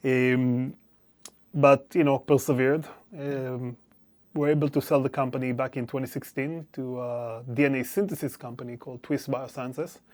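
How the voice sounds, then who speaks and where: In a very clean recording with a silent background, a man with an Israeli accent speaks at a moderate pace, with a medium pitch and fairly even intonation. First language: Hebrew. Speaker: venture capital investor. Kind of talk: interview. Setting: recording studio.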